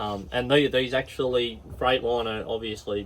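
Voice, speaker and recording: Fairly quick talk with ordinary pitch variation over noticeable background noise. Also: man. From Australia. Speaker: truck driver. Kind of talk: casual chat.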